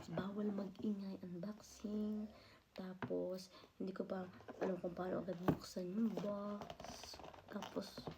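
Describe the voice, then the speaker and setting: Whispering and soft-spoken, a woman talks at a very slow pace with long, frequent pauses. There is noticeable background noise. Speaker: vlogger. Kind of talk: unboxing vlog.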